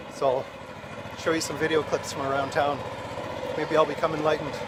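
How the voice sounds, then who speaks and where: Over noticeable background noise, a man speaks at a fairly quick pace in a fairly high pitch with monotone, flat intonation. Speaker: travel vlogger. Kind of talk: travel vlog narration. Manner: hesitant, many fillers; soft-spoken.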